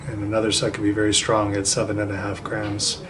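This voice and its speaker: Amid noticeable background noise and audible room echo, a man with a fairly low pitch talks at a moderate pace. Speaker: psychic trainer. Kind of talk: video diary.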